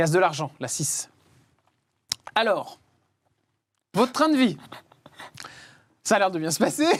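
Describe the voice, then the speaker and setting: An animated voice moving at a fairly slow pace, broken by long, frequent pauses. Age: 30s. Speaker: talk show host. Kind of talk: interview. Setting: studio.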